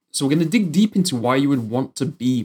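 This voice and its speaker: A man with a British accent, medium pitch and lively intonation. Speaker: podcast host. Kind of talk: scripted intro then interview.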